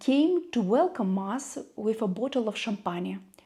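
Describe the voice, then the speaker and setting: A woman with a Russian accent speaks at a fairly slow pace in a fairly high, somewhat breathy voice with a dark, mellow tone and lively intonation. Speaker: YouTuber. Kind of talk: personal vlog monologue.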